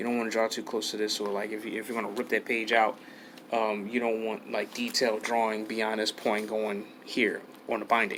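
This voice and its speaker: Mumbling at a fairly quick pace, a man speaks with a medium pitch. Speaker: art tutorial youtuber. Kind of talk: tutorial. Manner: halting.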